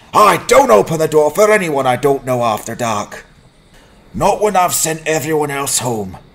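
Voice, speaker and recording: Moderate-paced speech from a man, fairly high in pitch, with very wide swings in it. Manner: angry, suspicious.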